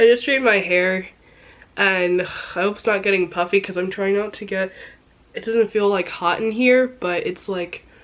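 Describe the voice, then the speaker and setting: Against noticeable background noise, a woman talks at a moderate pace in a medium pitch, her intonation fairly even. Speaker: lifestyle vlogger. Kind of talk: casual vlog talk. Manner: casual, filler-heavy.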